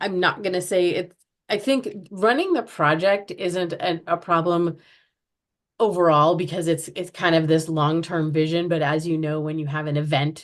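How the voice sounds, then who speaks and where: A woman with an American accent and an unremarkable speaking voice talks at a moderate pace with ordinary pitch variation over a quiet background. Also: fairly low pitch for a woman. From US Midwest, Chicago. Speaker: chronic pain art project organizer. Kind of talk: podcast interview.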